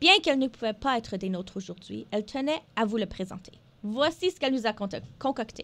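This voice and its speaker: The woman talks at a fairly quick pace with a fairly high pitch. Her intonation is lively, and her loudness shifts a lot. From northern Alberta, Canada (Franco-Albertan). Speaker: radio co-host, health network development officer. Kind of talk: scripted radio show presentation. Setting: radio studio. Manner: hesitant, many filler sounds.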